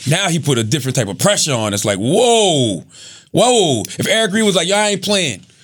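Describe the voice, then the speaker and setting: With very wide pitch swings, a man speaks loudly and fairly quickly at a high pitch. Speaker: podcast co-host. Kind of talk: casual chat.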